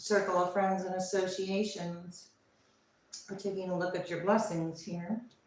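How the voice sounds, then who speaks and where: A woman with an American accent, medium pitch and monotone, flat intonation at a moderate pace, amid noticeable background noise and audible room echo. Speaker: tarot reader. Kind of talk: live tarot reading. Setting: livestream. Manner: casual, thinking aloud with fillers.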